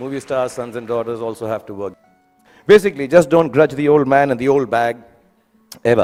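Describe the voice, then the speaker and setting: A man with an Indian accent at a medium pitch and a fairly quick pace, with ordinary pitch variation, big swings in loudness and long, frequent pauses, over music in the background. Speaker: film actor. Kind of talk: graduation speech. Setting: live audience, school event. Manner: humorous, conversational.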